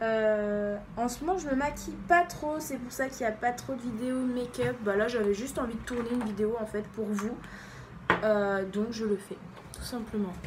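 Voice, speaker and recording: In a room with audible echo, a woman speaks fairly slowly in a fairly high pitch with ordinary pitch variation. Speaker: beauty YouTuber. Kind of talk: makeup tutorial. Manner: animated.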